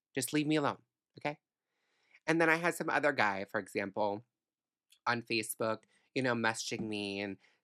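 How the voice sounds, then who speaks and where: In a very clean recording with a silent background, a woman speaks with lively intonation. The sound is dry and close, with no echo. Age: 20s. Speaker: podcast host. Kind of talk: angry solo rant, venting to listeners. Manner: fired up, sarcastic, emphatic, swearing; fast, indignant, exasperated tone with repeated 'I don't care'.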